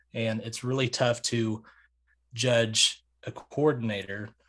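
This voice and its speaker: With an American accent, a man speaks at medium pitch with fairly even intonation and a plain, everyday voice. The background is quiet. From Oklahoma, Tulsa area. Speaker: college sports podcaster. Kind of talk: casual chat.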